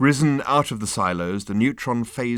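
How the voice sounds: The reading voice sounds natural. Lively intonation runs through it.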